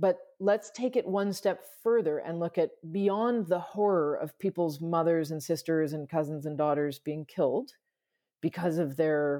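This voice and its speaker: A woman with a Canadian accent and a normal speaking voice talks at a fairly low pitch and moderate pace with ordinary pitch variation, on a very clean recording with a silent background. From Canada, Toronto. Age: 40s. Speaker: sustainability consultant. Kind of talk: casual interview.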